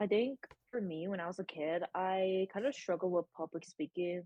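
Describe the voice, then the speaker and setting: A woman speaks with a Californian accent at a moderate pace. Her pitch is medium with ordinary variation. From San Francisco Bay Area. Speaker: college student. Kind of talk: casual chat. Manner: stutters a little.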